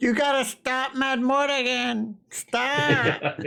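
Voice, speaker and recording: In a put-on character voice, someone shouts in a squeaky, whiny, fairly high pitch at a very slow pace. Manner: whiny, shouting.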